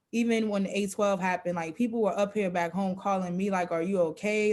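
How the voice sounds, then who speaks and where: Speaking with an American accent, a woman talks at medium pitch and a fairly quick pace. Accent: Geechee accent, somewhat adapted. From South Carolina (Geechee community). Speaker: photographer. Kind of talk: panel discussion.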